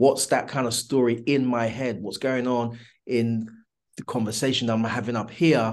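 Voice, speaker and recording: A man with a British accent, medium pitch, and monotone, flat intonation at a moderate pace. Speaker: entrepreneur. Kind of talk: interview. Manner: halting.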